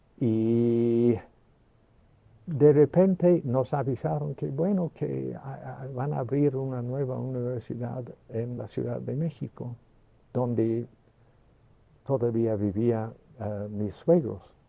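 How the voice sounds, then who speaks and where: A man with an English accent at a medium pitch, very slow in pace, with lively intonation and long, frequent pauses. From England (Liverpool area). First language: English (speaking Spanish). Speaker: retired mathematics professor. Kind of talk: interview. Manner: halting, many fillers and restarts.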